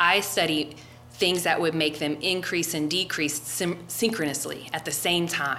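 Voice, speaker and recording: A woman's very deep, low voice with an American accent, fairly slow and fairly even, with music in the background and audible room echo. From US Midwest, Cincinnati suburbs. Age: 40s. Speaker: martial arts coach and biologist. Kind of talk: casual chat. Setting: gym.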